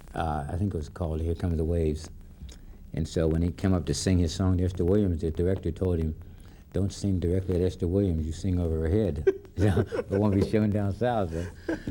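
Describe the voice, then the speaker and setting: A man with a very deep, low pitch and an American accent speaks at a fairly quick pace, his dark, mellow tone somewhat breathy and his intonation fairly even. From Pittsburgh, US. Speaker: jazz musician. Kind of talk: interview.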